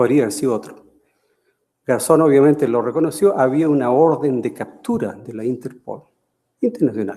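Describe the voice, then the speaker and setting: At a moderate pace, a man speaks in a dark, mellow tone with a fairly high pitch and ordinary pitch variation. He leaves long, frequent pauses. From Chile. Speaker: professor emeritus. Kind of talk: lecture. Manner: halting, many fillers.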